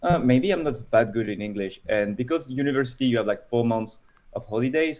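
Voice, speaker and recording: At a moderate pace, a man with a French accent speaks at a medium pitch with ordinary pitch variation. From France. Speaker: data scientist. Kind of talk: casual interview.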